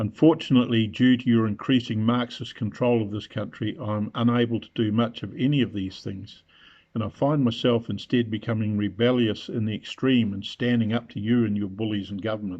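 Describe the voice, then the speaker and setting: A man with a New Zealand accent talks at a fairly quick pace in a medium pitch, with fairly even intonation and hardly any pauses. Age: 70s. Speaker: retiree making a political video. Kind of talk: open letter address. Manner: formal.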